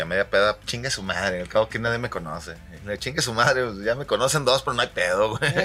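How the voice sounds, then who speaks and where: A man speaks with a Mexican accent. His pace is very fast. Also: medium pitch for a man, ordinary pitch variation. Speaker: podcast co-host. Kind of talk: casual chat over beers. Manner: animated, laughing.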